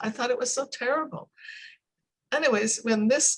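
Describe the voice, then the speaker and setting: The speaker has a Canadian accent. Pitch variation is ordinary. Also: woman. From Canada. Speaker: English pronunciation coach. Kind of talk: casual chat.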